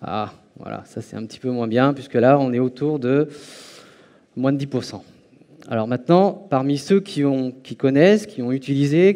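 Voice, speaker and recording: With a dark, mellow tone and fairly high pitch, a man speaks at a fairly slow pace with lively intonation. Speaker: conference speaker. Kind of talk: conference talk. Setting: stage with audience. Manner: hesitant, many fillers.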